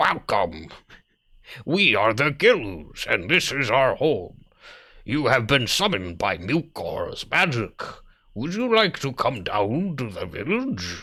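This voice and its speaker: In a put-on character voice, a man sounds gravelly at a medium pitch and a fairly slow pace, in a very clean recording with a silent background. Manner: welcoming.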